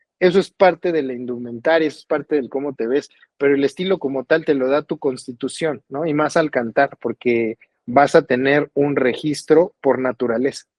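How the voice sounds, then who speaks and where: An unremarkable speaking voice, a man talks at a moderate pace and fairly high pitch with ordinary pitch variation. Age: 40s. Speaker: singer-songwriter. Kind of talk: interview conversation.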